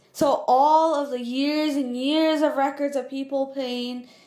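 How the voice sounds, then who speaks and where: A woman with a high pitch talks at a moderate pace against noticeable background noise. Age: young. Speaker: animated storytime youtuber. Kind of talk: casual storytime monologue. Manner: animated, casual.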